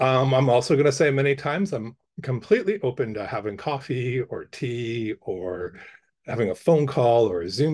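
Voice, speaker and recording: With lively intonation, a man speaks at a medium pitch in a somewhat breathy voice. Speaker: arts council officer and artist giving a workshop. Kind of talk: workshop presentation. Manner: fast, rambling; hesitant, many fillers.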